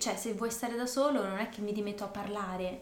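A woman talks at a moderate pace with a fairly high pitch. Noticeable background noise is present. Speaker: language-learning podcast co-host. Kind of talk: casual chat. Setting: indoors, evening on a couch.

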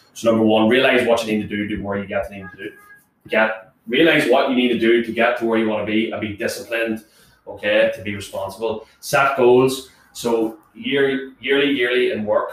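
Fairly quick speech from a man in a plain, everyday voice, medium in pitch with fairly even intonation. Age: 20s. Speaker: podcast co-host. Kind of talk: casual chat.

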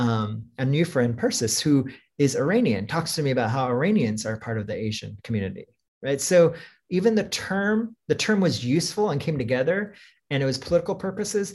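A somewhat breathy voice with an American accent and very wide pitch swings, on a very clean recording with a silent background. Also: man, fairly high pitch for a man, fairly quick pace. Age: 50s. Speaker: writer and school dean. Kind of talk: casual interview chat.

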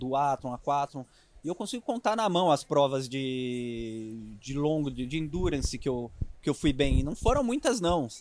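Heard on a very clean recording with a silent background, a man uses a normal speaking voice at a fairly slow pace. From interior of São Paulo state, Brazil (Itapuí, near Jaú). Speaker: triathlon coach. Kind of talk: casual interview chat. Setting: outdoors at a triathlon expo.

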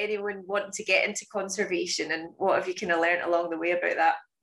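A woman speaks with a Scottish accent. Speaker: podcast host and conservation educator. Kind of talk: casual interview chat.

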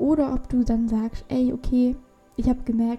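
Fairly high-pitched woman's voice with a dark, mellow tone. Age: young. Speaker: podcast host, personal development. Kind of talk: solo podcast monologue. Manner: casual, filler-heavy.

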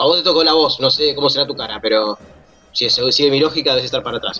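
A man at a very fast pace with a Rioplatense accent, over noticeable background noise. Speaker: football podcaster. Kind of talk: casual interview.

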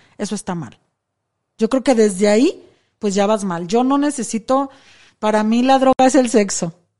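A woman's fairly high voice with a dark, mellow tone and ordinary pitch variation. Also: quiet background. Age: 40s. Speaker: escort. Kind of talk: interview. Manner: casual and frank.

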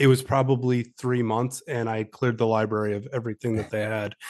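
A man with an American accent talks at a medium pitch and moderate pace, his intonation monotone and flat. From upstate New York. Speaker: author and army veteran. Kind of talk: interview.

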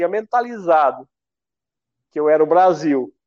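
A man speaks with lively intonation. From Paraná, Brazil (Argentine border). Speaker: retired elite runner, race timing business owner. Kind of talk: live-stream interview.

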